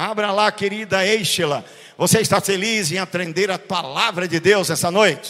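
Over noticeable background noise, a man with a high pitch speaks in an animated tone at a moderate pace. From Brazil, Recife (Pernambuco). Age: 60s. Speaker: pastor. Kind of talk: sermon.

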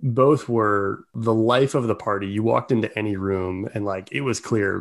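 A normal speaking voice at a moderate pace, in a very clean recording with a silent background. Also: man. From Baltimore, US. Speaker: sales executive. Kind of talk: interview conversation.

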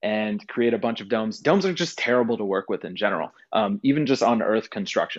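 A man with an American accent speaks fairly quickly in a normal speaking voice. His pitch is medium, with ordinary pitch variation. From Texas, Houston. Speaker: content creator and engineer. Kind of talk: interview.

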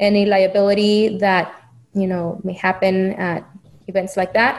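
With a Spanish accent, a woman talks at a moderate pace in a medium pitch with monotone, flat intonation. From Mexico (Chihuahua). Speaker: business owner. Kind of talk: interview.

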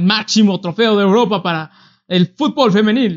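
A man talks with a Mexican accent. His voice is high in pitch. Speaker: sports podcast co-host. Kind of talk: casual chat.

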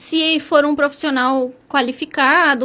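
Her pitch high, a woman talks with ordinary pitch variation. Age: 30s. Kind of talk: interview.

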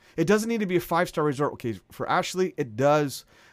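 On a very clean recording with a silent background, a man talks at a fairly quick pace in a high voice with lively intonation. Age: 40s. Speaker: family travel podcaster. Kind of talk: personal story monologue. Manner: casual, conversational with fillers.

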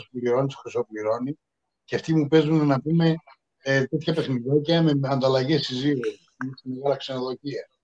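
A man with a plain, everyday voice, fairly high in pitch, at a moderate pace with ordinary pitch variation. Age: 50s. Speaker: podcast co-host. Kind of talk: casual chat.

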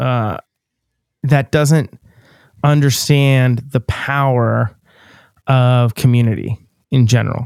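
This man has an American accent and a medium pitch. His pace is very slow. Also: dry, close sound with no echo. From Western Pennsylvania, US. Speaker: podcast host and touring musician. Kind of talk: casual interview chat.

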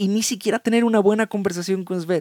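On a very clean recording with a silent background, a man's voice comes through with a dry, close sound and no echo. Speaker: podcast host. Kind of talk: casual reflective monologue. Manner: halting.

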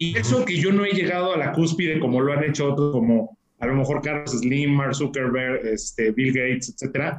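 A man's ordinary speaking voice, fairly high in pitch, at a moderate pace with ordinary pitch variation. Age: 30s. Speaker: real estate company executive. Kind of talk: interview.

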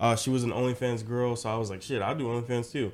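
The speaker has flat, monotone intonation and an American accent. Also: man. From US South, rural Georgia. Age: 20s. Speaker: social media content creator. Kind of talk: casual chat.

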